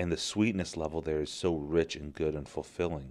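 Fairly quick speech over a quiet background. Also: man. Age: 30s. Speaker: podcast host and teacher. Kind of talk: personal monologue podcast.

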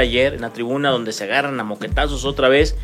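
A man talks fairly quickly. Music can be heard behind him. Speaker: sports radio host. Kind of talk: sports talk show.

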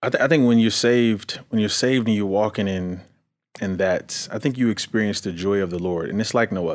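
The man's pitch is fairly low, with ordinary pitch variation. He talks at a fairly quick pace. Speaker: guest. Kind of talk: casual chat. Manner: animated.

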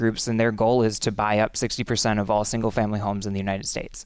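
The man talks at a very fast pace in a medium pitch, his intonation monotone and flat. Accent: American. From Western Wisconsin, Menominee. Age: young. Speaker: congressional candidate. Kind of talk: interview.

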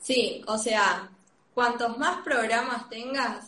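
Audible room echo surrounds a woman speaking with a Rioplatense accent. Her tone is bright and sharp, and her pace is very slow. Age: 20s. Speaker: industrial design student. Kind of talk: interview.

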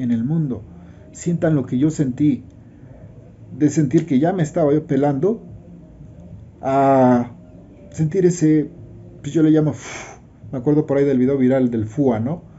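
A man with a fairly high pitch speaks at a fairly slow pace in a somewhat breathy voice. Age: 50s. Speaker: network marketing promoter. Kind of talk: testimony.

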